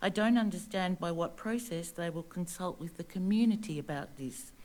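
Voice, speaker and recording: A woman's medium-pitched voice with an Australian accent, ordinary pitch variation and a moderate pace. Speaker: local resident. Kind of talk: public statement. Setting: council meeting. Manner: formal.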